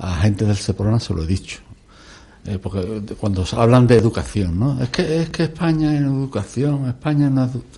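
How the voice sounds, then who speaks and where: A man talks at a moderate pace. He has an ordinary speaking voice. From Extremadura, Spain, small village. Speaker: environmental activist. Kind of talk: radio discussion.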